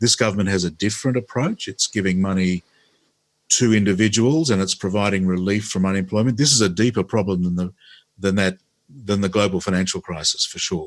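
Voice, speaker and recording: In an Australian accent, a man talks at a fairly quick pace and a fairly low pitch, with ordinary pitch variation against a quiet background. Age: 60s. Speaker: former politician and radio host. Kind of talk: interview.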